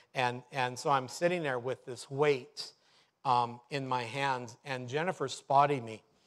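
In a very clean recording with a silent background, a man talks at a medium pitch and a fairly slow pace with ordinary pitch variation. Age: 50s. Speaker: pastor. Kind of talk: sermon. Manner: halting.

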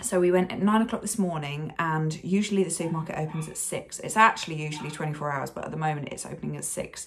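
A woman's fairly low voice over light background noise. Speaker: vlogger. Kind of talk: casual vlog chat. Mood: frustrated, recounting stressful trip. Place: home room. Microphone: phone near.

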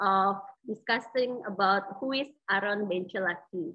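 A woman speaks with an Indonesian accent. The background is quiet. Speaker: moderator. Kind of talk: formal introduction; Q&A moderation. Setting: video call. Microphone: video call.

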